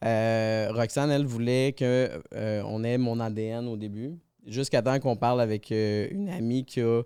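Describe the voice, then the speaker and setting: Medium-pitched man's voice, dark and mellow, at a fairly slow pace with ordinary pitch variation, on a very clean recording with a silent background. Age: 30s. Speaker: podcast guest. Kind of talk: podcast conversation.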